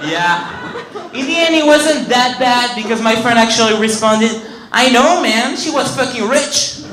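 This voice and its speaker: An extremely high male voice at a moderate pace with ordinary pitch variation, amid audible room echo and noticeable background noise. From France (Paris). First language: French. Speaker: stand-up comedian. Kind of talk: stand-up. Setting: stage with audience.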